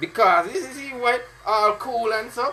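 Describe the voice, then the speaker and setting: A raised, projected, high-pitched man's voice with a Caribbean accent, over noticeable background noise. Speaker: fitness instructor. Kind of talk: live-streamed workout session with chat. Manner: animated.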